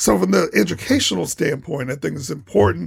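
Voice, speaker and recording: A man's fairly quick speech with vocal fry and an American accent. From Toledo, Ohio, US Midwest. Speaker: choir director and educator. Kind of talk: radio interview.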